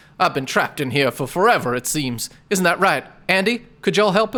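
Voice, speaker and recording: In a put-on character voice, a man speaks croakily at a high pitch and a fairly quick pace. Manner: desperate, pleading.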